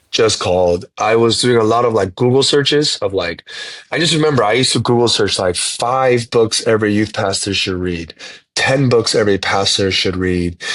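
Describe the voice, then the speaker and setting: A man with an American accent speaks at a moderate pace in a normal speaking voice. His pitch is medium, with ordinary pitch variation. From South Korea, grew up on US Army base. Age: 30s. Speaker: pastor and church planter. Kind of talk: podcast interview. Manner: casual, with frequent repetitions.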